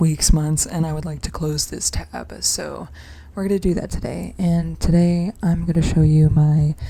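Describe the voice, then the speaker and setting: A soft-spoken woman talks at a moderate pace over noticeable background noise. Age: 20s. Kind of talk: soft-spoken ASMR casual talk.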